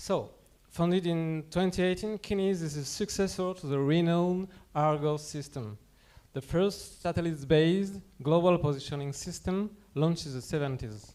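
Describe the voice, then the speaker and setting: Speaking with a French accent, a man uses a high pitch and a dark, mellow tone. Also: ordinary pitch variation, moderate pace. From France. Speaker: company representative presenting at a conference. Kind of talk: conference presentation.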